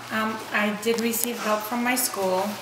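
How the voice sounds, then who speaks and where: Amid noticeable background noise and audible room echo, a woman speaks at a fairly slow pace in a monotone, flat way. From Poland, moved to US at age eleven. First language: Polish. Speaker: interviewee, Polish immigrant. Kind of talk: interview.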